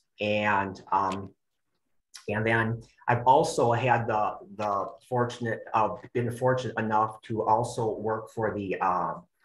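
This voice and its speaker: A man's somewhat breathy voice, very slow and monotone, with flat intonation. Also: medium pitch for a man. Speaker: extension educator and personal trainer. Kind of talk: webinar presentation. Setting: online webinar. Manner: halting, many fillers and repetitions.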